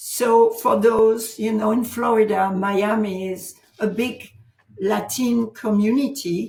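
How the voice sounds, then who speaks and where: The speaker talks at a very slow pace with a French accent. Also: woman, fairly high pitch for a woman, fairly even intonation. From France. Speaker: author and transformation coach. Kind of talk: interview.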